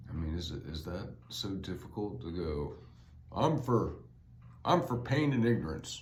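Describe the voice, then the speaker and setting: Using very wide pitch swings and long, frequent pauses, a man talks at a moderate pace in a somewhat breathy voice, with audible room echo around him. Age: 60s. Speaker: podcaster and author. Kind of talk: solo podcast monologue. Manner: casual, halting with fillers.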